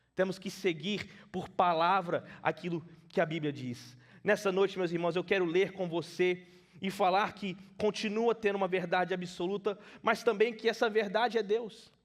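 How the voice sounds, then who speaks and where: The speaker has a non-native accent and talks at a moderate pace with fairly even intonation. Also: man, high pitch for a man. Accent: limited Portuguese, non-native. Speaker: preacher. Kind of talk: sermon. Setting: church.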